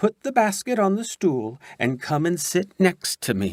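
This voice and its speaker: A man's put-on character voice, high in pitch, at a fairly slow pace. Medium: read story. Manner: sly, greedy.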